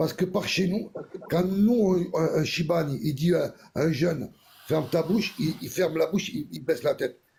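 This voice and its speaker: A man speaks in a high pitch with a dark, mellow tone. His pitch variation is ordinary. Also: big swings in loudness. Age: 60s. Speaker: caller. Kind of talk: heated debate.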